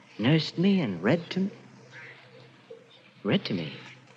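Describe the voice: Slow, slightly mellow put-on character voice from a man, fairly high in pitch with very wide pitch swings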